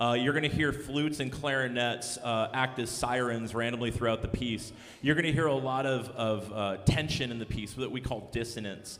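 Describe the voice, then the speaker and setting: There is noticeable background noise and audible room echo. A man talks at a moderate pace with fairly even intonation and hardly any pauses. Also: medium pitch for a man. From Texas. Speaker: band director. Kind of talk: concert introduction to audience. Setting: stage with audience. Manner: casual, with filler words.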